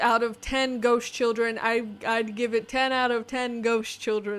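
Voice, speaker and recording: Fairly even intonation marks this woman's speech. Her voice sits fairly high in pitch. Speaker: book reviewer video host. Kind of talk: casual book review monologue. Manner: fast; filler-heavy casual.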